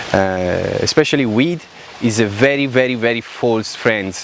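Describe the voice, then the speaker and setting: Moderately paced male speech in a mid-range pitch, the pitch moving in an ordinary way, over clearly audible background noise. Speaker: self-help vlogger. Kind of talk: personal testimony monologue.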